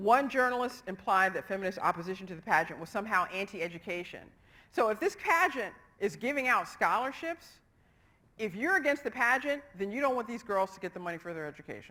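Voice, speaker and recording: Speaking at a very fast pace, a woman with a fairly high pitch and a bright, sharp tone shows very wide pitch swings and big swings in loudness. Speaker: psychology lecturer. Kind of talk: lecture.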